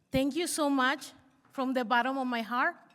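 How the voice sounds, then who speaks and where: In a Spanish accent, a woman speaks at a moderate pace with a high pitch. The recording is very clean, with a silent background. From Mexico. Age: 40s. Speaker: university student. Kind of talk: speech.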